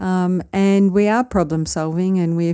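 A woman speaks in an Australian accent with a dark, mellow tone and fairly low pitch. She goes at a fairly slow pace on a very clean recording with a silent background. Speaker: podcast co-host. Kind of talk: casual chat.

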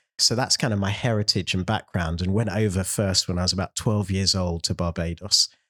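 A man with a London accent talks at a fairly quick pace, with hardly any pauses, in a very deep, low pitch. The sound is dry and close with no echo, and the recording is very clean over a silent background. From London (south, near Morden). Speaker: mission agency director and church planter. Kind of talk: interview conversation. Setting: office building in central London.

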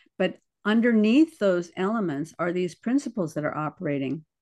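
At a moderate pace, a woman with a normal speaking voice talks at a fairly low pitch with lively intonation over a quiet background. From US, military bases worldwide. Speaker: artist and podcast host. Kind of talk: life-story interview.

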